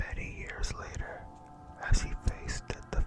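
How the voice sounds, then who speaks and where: Whispering unfolds at a fairly slow pace with music in the background. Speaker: ASMR artist. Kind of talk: ASMR book reading. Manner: whispered.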